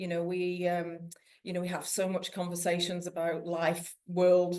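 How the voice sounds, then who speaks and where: With a British accent, a woman speaks in a fairly low, dark, mellow tone, monotone and flat, at a fairly slow pace amid audible room echo. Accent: UK accent noticeable in New Zealand. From northern England (textile region). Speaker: weaving class student, police forensic manager. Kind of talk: casual chat. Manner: halting.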